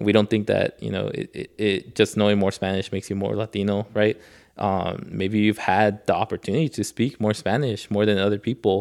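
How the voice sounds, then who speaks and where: A man with an American accent talks in a plain, everyday voice, fairly low in pitch, with fairly even intonation and hardly any pauses, on a very clean recording with a silent background. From Los Angeles, Koreatown. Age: 30s. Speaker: board game creator. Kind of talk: casual chat.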